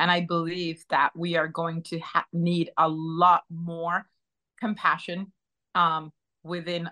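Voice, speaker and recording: With an American accent, a woman speaks at a fairly low pitch in a bright, sharp tone, the sound dry and close with no echo. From northeast England, raised mostly in the US. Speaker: AI consultant, business founder. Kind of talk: interview. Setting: podcast studio.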